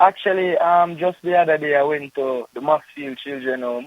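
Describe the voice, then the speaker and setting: A man with a Jamaican accent talks at a moderate pace with fairly even intonation. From Jamaica, Kingston. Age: 20s. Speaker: poet and journalism student. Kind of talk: radio interview.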